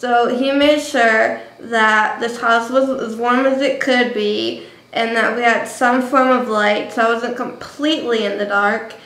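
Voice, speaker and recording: A woman's high voice with an American accent and fairly even intonation, in audible room echo. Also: fairly slow pace. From New Jersey. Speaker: vlogger. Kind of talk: casual vlog monologue. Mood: reflective, emotional storytelling. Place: home room. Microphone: webcam.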